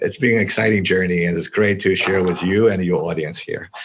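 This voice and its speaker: Against a quiet background, a man speaks at a fairly low pitch with a Chinese accent. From China. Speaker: tech company CEO. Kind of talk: interview. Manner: hesitant with many fillers.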